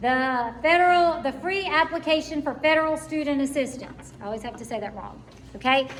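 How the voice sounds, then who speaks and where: A woman speaks in a high voice with ordinary pitch variation, with audible room echo and noticeable background noise. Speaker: school counselor. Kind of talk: parent information meeting.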